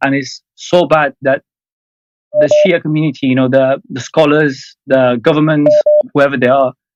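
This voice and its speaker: A man in an Iranian accent, fairly high in pitch, with fairly even intonation and a dry, close sound with no echo. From Afghanistan. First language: Farsi. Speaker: caller. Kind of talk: casual chat. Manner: halting.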